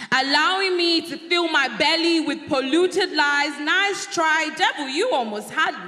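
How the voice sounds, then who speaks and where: A raised, projected voice at a fairly slow pace, with ordinary pitch variation and hardly any pauses. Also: woman, extremely high pitch for a woman. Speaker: spoken word poet. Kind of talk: spoken word poetry performance.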